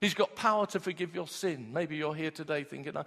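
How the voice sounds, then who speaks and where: A man has an unremarkable speaking voice, fairly high in pitch with ordinary pitch variation. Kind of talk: sermon. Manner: warm, earnest, and direct, with call-and-response.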